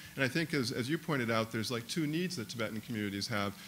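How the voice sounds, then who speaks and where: A man's voice at medium pitch. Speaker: professor. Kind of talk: audience question at panel. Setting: conference panel with audience. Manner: fast.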